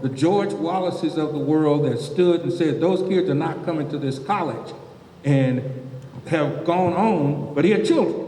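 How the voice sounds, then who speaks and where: With noticeable background noise and audible room echo, a man speaks at a moderate pace in a fairly high pitch with ordinary pitch variation. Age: 70s. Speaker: panelist. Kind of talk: panel discussion. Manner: animated.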